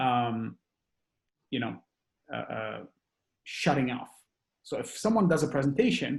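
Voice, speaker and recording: This man's fairly high-pitched voice carries vocal fry. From Montreal, Quebec. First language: French. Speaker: startup founder. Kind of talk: podcast interview. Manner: animated, many fillers and restarts.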